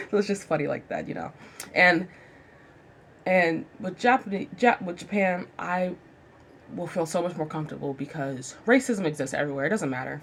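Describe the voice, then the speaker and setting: Her tone is animated, and she speaks with an American accent at a fairly low pitch. The woman leaves long, frequent pauses. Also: lively intonation, moderate pace. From United States. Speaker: vlogger. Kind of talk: casual monologue.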